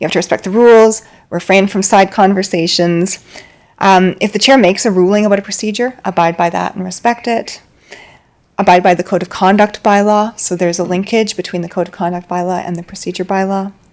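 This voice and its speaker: In a normal speaking voice, a woman talks at a fairly quick pace with a medium pitch and fairly even intonation. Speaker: governance trainer presenting to council. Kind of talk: training presentation.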